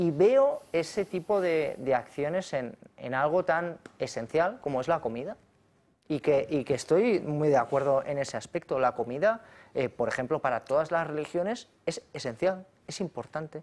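A man with a plain, everyday voice speaks at a moderate pace in a fairly high pitch, his intonation lively. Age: 40s. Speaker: economist and politician; politician. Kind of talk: political talk show debate. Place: studio. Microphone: lapel.

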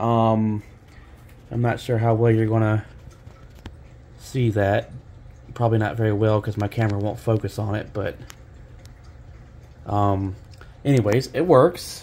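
A man speaks fairly slowly in a fairly low voice, with long, frequent pauses. His intonation stays fairly even over light background noise. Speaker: hobbyist video camera collector. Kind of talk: casual talk to camera. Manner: hesitant, many pauses and fillers. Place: kitchen. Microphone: phone near.

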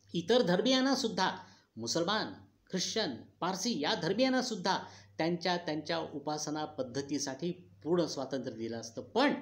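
Speaking with a high pitch, a man swings his pitch very widely. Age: 60s. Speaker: speech contest participant; political commentator. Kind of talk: contest oration. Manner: declamatory. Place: home room. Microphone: phone near.

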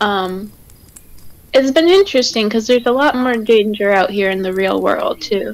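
Ordinary pitch variation from a woman with a fairly high pitch, at a moderate pace. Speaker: tabletop game player. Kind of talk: casual chat. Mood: soft, earnest, reflective. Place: home room. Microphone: headset.

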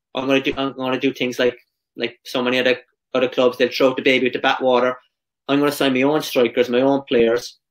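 In a Cork accent, a man talks very fast at a medium pitch with monotone, flat intonation against a quiet background. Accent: Irish (Cork). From Ireland. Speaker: professional footballer; podcast guest. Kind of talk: casual interview. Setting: video call. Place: home room.

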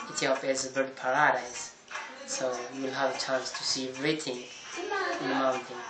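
Over noticeable background noise, a man speaks at a fairly quick pace broken by long, frequent pauses. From Ethiopia, Gondar. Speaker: tour guide. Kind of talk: casual talk to camera. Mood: friendly, smiling. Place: home room.

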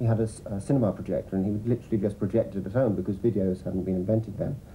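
Over light background noise, a man talks in a somewhat breathy voice. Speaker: interviewee. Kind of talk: interview answer. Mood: warm, reminiscing. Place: home room.

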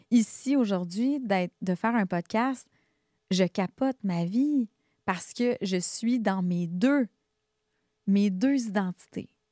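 With a Quebec accent, a woman speaks at a very slow pace with long, frequent pauses and ordinary pitch variation, in a dry sound with no echo and a quiet background. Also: medium pitch for a woman. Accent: Québécois French. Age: 40s. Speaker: therapist, coach and singer; coach. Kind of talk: interview, life story. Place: studio. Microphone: studio mic.

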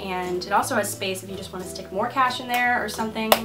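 Clear background music beneath a woman's voice. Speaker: beauty vlogger. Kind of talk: casual vlog chat. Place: home room. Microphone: camera far.

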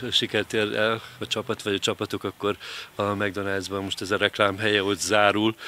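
Bright and sharp in tone, a man's fairly low voice moves at a moderate pace in a dry sound with no echo. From Hungary. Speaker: local TV interviewer. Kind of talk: interview. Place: garden. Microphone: handheld.

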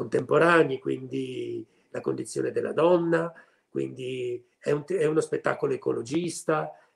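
At a moderate pace, the speaker talks over a quiet background. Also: man. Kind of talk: interview answer. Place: home room. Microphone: video call.

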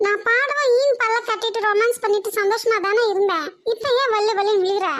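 A woman does a cartoonish character voice at an extremely high pitch. Her intonation is fairly even and her pace moderate. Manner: brazen, teasing.

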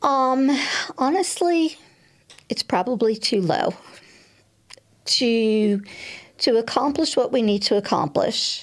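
A woman with an American accent speaks at a very slow pace and high pitch, with lively intonation, very even loudness and long, frequent pauses. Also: quiet background. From New York. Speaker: political candidate; candidate. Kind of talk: interview. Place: studio. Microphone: studio mic.

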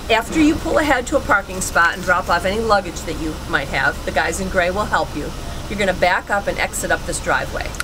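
A woman talks at a very fast pace, with noticeable background noise behind her. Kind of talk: giving directions. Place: car. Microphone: camera far.

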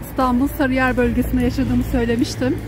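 A woman at a moderate pace, dry with no echo, over clear background music. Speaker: vlogger. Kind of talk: casual vlog chat. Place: market. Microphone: phone near.

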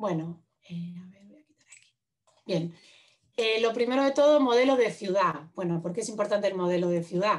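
A woman at a moderate pace, with lively intonation, big swings in loudness and a quiet background. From Madrid, Spain; Spain. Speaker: urban planner and architect; presenter. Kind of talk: lecture. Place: home room. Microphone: video call.

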